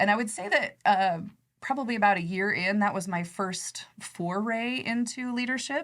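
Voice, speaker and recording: A woman with an American accent speaks at a moderate pace, her fairly high pitch showing ordinary variation. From Nebraska, US Midwest. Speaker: credit union executive. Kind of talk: podcast interview. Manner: soft-spoken.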